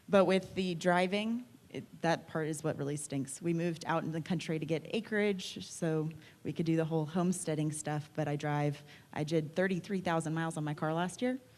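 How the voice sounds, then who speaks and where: In a normal speaking voice, a woman with an American accent talks at a fairly quick pace, her fairly low pitch showing ordinary variation. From Texas, Austin. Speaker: realtor. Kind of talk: panel discussion.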